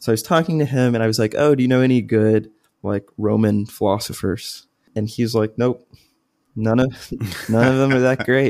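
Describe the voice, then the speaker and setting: A man's medium-pitched voice, an unremarkable speaking voice, with very even loudness and fairly even intonation. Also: moderate pace. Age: 20s. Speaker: undergraduate student and podcast co-host. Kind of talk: casual educational discussion.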